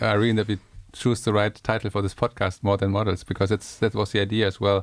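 A man with a German accent speaks at a fairly quick pace in a fairly low pitch. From Germany. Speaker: podcast host. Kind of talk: interview chat.

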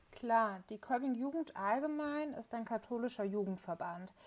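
A woman with a plain, everyday voice and lively intonation. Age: 20s. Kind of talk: casual interview. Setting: video call.

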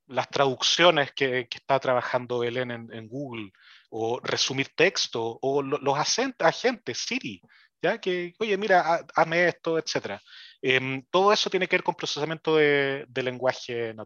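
A man with a Chilean accent, fairly high pitch, lively intonation and a fairly slow pace. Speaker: engineering professor. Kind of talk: casual chat. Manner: halting.

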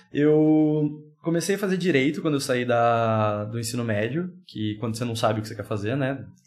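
A man speaks at medium pitch with lively intonation and a somewhat breathy voice. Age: 20s. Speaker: podcast guest. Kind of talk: casual chat.

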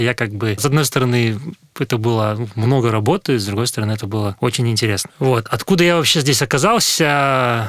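His voice varies in pitch in an ordinary way. The man's pitch sits in the medium range. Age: 30s. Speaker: food delivery company executive. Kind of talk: interview. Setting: studio.

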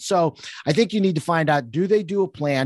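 In a dry, close recording with no echo and a quiet background, a man with a fairly high pitch and lively intonation has a plain, everyday voice. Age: 50s. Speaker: financial advisor. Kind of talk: interview. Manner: casual, conversational.

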